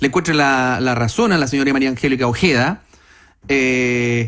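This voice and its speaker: A man speaks with a Chilean accent. His pitch is fairly high. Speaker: radio panelist. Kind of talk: panel discussion. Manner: halting, many repetitions.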